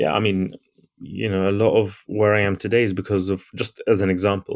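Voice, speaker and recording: A man with a London accent at a very fast pace, fairly low in pitch and monotone, flat in intonation, over a quiet background. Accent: native British London. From London, England. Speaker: entrepreneur and author. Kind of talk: podcast interview.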